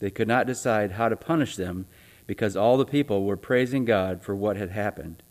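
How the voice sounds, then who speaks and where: Here is a man with an unremarkable speaking voice at a fairly low pitch. He talks at a moderate pace with lively intonation. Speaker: church announcer and scripture reader. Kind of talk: church announcements and reading aloud. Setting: church.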